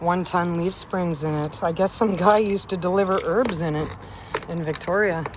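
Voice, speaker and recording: With a Canadian accent, a woman talks at a moderate pace in a fairly low pitch, with noticeable background noise behind her. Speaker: van lifer vlogger. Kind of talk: casual vlog. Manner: animated.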